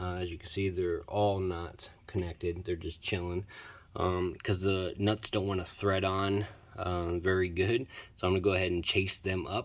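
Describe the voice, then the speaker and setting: Moderately paced male speech, very deep and low, with monotone, flat intonation. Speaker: car hobbyist. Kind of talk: casual talk to camera.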